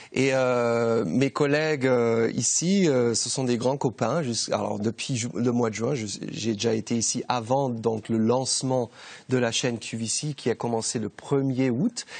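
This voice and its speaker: A man's voice at medium pitch, fairly even in intonation, at a fairly slow pace. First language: German (speaking French). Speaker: TV shopping presenter. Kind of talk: sales pitch. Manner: halting.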